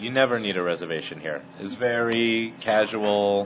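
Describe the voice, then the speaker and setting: A man talks at a fairly slow pace with fairly even intonation over noticeable background noise. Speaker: restaurant owner. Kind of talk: casual interview. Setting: restaurant.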